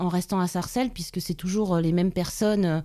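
A woman talks at a moderate pace with ordinary pitch variation. Her pitch sits in the medium range, and she has a plain, everyday voice. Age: 40s. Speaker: police officer. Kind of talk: interview.

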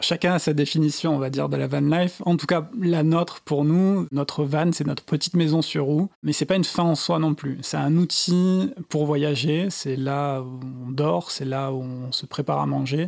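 Hardly pausing, a man speaks at a fairly high pitch. His pace is moderate. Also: ordinary pitch variation. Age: 30s. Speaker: architect turned van traveller and author. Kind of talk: interview. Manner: halting.

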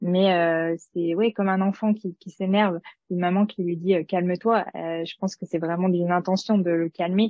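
The woman has a fairly low pitch. She speaks with monotone, flat intonation. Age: 30s. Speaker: former scientific researcher. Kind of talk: casual interview chat. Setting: recorded conversation over tea. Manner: halting, many hesitations.

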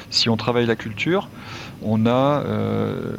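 Noticeable background noise sits behind a man's voice. His pitch is medium and varies in an ordinary way. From France. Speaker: entrepreneur. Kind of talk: casual chat. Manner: hesitant, many fillers.

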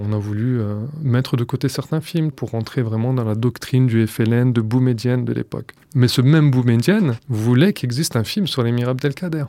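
With a dark, mellow tone, a man speaks at a medium pitch and a moderate pace. His pitch variation is ordinary. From France. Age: 30s. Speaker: archive researcher. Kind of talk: documentary interview.

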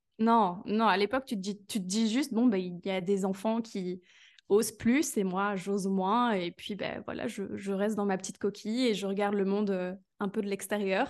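A woman at a moderate pace, an ordinary speaking voice, over a quiet background. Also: medium pitch for a woman, fairly even intonation. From Belgium. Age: 20s. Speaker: business coach. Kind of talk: casual interview chat.

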